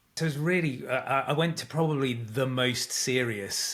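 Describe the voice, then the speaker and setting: This man has a British accent. He speaks at a moderate pace. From UK. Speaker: communications coach and author. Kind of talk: interview conversation.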